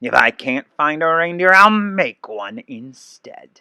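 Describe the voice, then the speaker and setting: A man does a growling, put-on character voice at a high pitch. He speaks at a fairly slow pace with very wide pitch swings. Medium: read story. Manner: sneering, growly.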